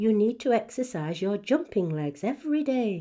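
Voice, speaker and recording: A female-sounding voice puts on a character voice at a fairly high pitch for a woman, keeping a moderate pace over a quiet background. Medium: read story.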